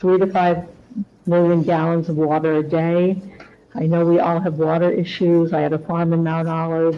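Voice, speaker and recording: Noticeable background noise runs under a woman with a fairly low pitch. She keeps a moderate pace and fairly even intonation. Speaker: public commenter. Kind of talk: public comment at meeting. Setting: township committee meeting.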